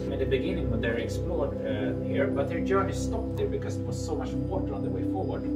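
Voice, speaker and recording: Over loud music in the background, a man talks at a fairly quick pace. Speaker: cave tour guide. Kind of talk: guided tour talk. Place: tunnel cave. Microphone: camera far.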